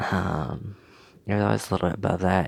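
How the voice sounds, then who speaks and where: A man is whispering. His pace is moderate. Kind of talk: casual talk to camera. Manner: hesitant, many filler words.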